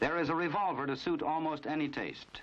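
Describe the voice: Ordinary pitch variation marks a man's fairly high voice. He talks at a fairly quick pace in a fairly bright tone.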